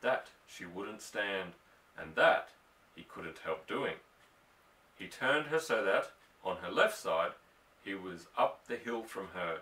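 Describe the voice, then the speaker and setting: A man with an Australian accent at a very slow pace, with long, frequent pauses and big swings in loudness. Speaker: audiobook reader. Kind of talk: novel reading.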